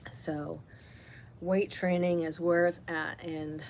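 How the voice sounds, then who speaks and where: A woman speaks with fairly low pitch and fairly even intonation. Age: 60s. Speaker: wellness teacher. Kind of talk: casual talk during live self-care session. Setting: livestream at home. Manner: halting, many fillers.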